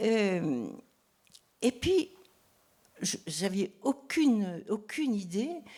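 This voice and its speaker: Very slow and marked by long, frequent pauses, the voice has a dark, mellow tone and very wide pitch swings. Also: woman, fairly high pitch for a woman. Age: 80s+. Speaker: novelist. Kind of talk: public talk. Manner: halting.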